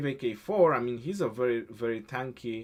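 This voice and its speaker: A man with a non-native accent speaks at a moderate pace, his intonation lively. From Romania. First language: Romanian. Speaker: gaming streamer. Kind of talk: casual livestream chat. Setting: live stream. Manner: halting.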